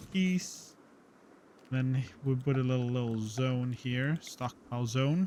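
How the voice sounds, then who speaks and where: A man talks at a fairly slow pace and medium pitch. He has an ordinary speaking voice with ordinary pitch variation. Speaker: gaming streamer. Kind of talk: gameplay commentary.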